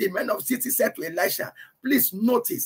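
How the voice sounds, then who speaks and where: At a fairly quick pace, a man speaks in a raised, projected voice with a bright, sharp tone. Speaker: preacher. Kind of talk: sermon, Bible teaching to a congregation and online audience. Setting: church, livestreamed. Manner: emphatic, repeats key phrases for effect; fervent, exhorting. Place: home room. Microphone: webcam.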